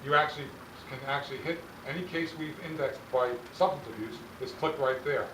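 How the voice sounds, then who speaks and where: With audible room echo and noticeable background noise, a man talks in a fairly even intonation. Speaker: policy consultant presenting to a school board. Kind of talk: sales presentation. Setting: school board meeting. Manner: fast.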